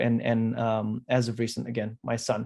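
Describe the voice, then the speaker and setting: A man with a medium pitch talks with a Southern California accent. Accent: Southern California American English. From Indonesia, then Cerritos, California from age nine. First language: Indonesian. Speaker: actor. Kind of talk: interview. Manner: casual with many fillers and restarts.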